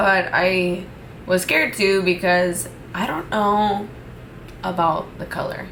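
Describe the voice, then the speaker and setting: A woman with a medium-pitched voice speaks very slowly, with long, frequent pauses and fairly even intonation. Audible room echo and noticeable background noise surround her. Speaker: beauty vlogger. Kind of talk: makeup tutorial vlog. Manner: casual, chatty.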